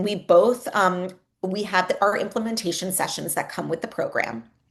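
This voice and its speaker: Against a quiet background, a woman with a normal speaking voice talks at a moderate pace in a medium pitch. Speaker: education executive, former teacher. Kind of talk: webinar presentation. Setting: online webinar.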